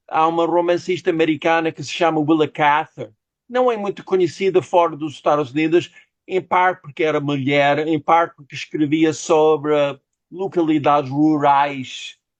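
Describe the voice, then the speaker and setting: A man's fairly high voice with an English accent and fairly even intonation. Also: moderate pace, quiet background. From United States. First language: English (speaking Portuguese). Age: 60s. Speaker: novelist. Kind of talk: interview. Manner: halting.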